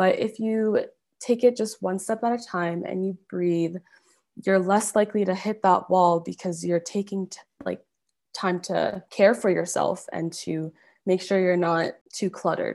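In a Canadian accent, a woman speaks fairly slowly at a medium pitch in a plain, everyday voice. Her intonation is fairly even, on a very clean recording with a silent background. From Calgary, Alberta, Canada. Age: 20s. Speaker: fashion brand founder. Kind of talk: interview.

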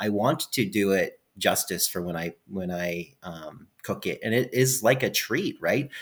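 A man with a Canadian accent has an unremarkable speaking voice, fairly low in pitch, and talks at a fairly slow pace with lively intonation and hardly any pauses. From Alberta, Canada. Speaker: outdoors YouTuber. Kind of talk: casual chat.

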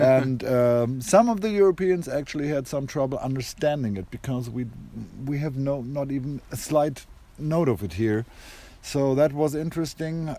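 With a German accent, a man speaks at a moderate pace in a medium pitch, his tone dark and mellow and his pitch variation ordinary.

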